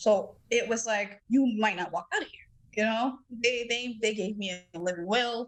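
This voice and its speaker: In an American accent, a woman with an ordinary speaking voice and a fairly high pitch talks with ordinary pitch variation and big swings in loudness. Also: moderate pace. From Massachusetts, Dorchester (Boston). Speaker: cardiomyopathy survivor, podcast guest. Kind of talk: testimony.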